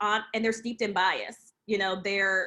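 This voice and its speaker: Her tone is bright and sharp. The woman speaks with a New Jersey accent. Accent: New Jersey American. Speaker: talent acquisition expert. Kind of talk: webinar Q&A.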